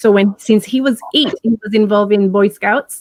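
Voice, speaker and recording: A woman with a Puerto Rican accent speaks at a moderate pace and fairly high pitch. Her intonation stays fairly even, and the sound is dry and close with no echo. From Puerto Rico. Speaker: life coach and hypnotherapist. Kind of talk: interview. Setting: live stream.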